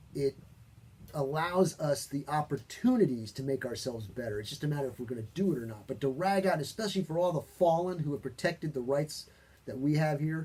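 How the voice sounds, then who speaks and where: At a fairly quick pace, a man speaks with a dark, mellow, somewhat breathy tone, a fairly high pitch, and lively intonation. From New York. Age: 50s. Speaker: talk show host. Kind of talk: opinionated talk show discussion. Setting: studio. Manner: animated.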